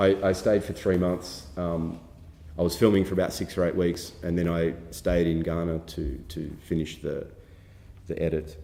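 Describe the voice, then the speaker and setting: Audible room echo colors a man's very deep, low voice, which has an Australian accent, a dark, mellow tone, monotone, flat intonation and a moderate pace. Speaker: documentary filmmaker. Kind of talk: workshop lecture. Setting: film festival workshop with audience. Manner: halting, many fillers and repetitions.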